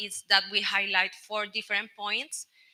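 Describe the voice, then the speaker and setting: A woman speaks with a Colombian accent. Her pace is moderate. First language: Spanish. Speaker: telecom product executive. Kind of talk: panel discussion.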